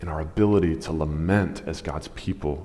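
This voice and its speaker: The speaker keeps a moderate pace. Pitch variation is ordinary. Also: man. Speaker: preacher. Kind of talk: sermon. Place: stage.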